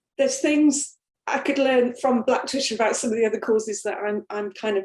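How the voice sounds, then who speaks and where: A woman with a Sunderland accent talks at a fairly quick pace and fairly high pitch, with lively intonation. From northern England, Sunderland. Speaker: women's football organisation director. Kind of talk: panel webinar discussion. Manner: hesitant, many fillers and restarts.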